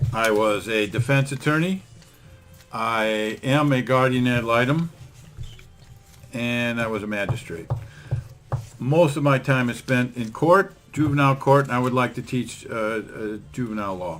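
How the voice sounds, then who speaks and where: A man reads at a fairly slow pace and a medium pitch, with ordinary pitch variation and long, frequent pauses. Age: 60s. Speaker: podcast host, attorney. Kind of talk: casual podcast chat.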